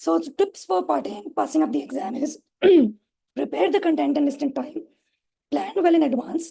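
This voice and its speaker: A woman uses a put-on character voice, hoarse and high-pitched, with very wide pitch swings. She keeps a moderate pace broken by long, frequent pauses. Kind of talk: instructive, giving exam advice.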